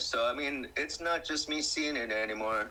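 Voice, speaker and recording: A man speaks over noticeable background noise. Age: 60s. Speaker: alien abduction witness. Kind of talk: casual chat. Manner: halting.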